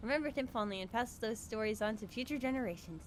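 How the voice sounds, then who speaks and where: A woman talks at a very fast pace with a fairly high pitch and fairly even intonation. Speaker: gaming streamer (VTuber). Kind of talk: reading game text aloud during live stream. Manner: halting, stumbles over words.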